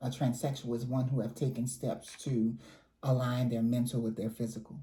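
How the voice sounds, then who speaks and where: A woman speaks at a moderate pace with a very deep, low pitch and a dark, mellow tone. Her voice is somewhat breathy, with fairly even intonation. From New Orleans, Louisiana. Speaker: community advocate and trainer. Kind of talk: interview.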